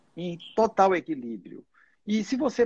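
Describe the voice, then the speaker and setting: Against a quiet background, a man with a dark, mellow tone talks at a moderate pace with lively intonation. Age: 60s. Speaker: doctor. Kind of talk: casual chat.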